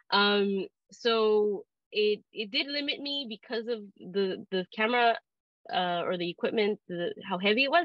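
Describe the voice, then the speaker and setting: A woman talks at a fairly slow pace. Her fairly high voice has lively intonation. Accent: Spanish. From Southern California, Long Beach. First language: Spanish. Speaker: photographer and art professor. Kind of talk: interview Q&A. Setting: video call. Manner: hesitant, many fillers and repeats.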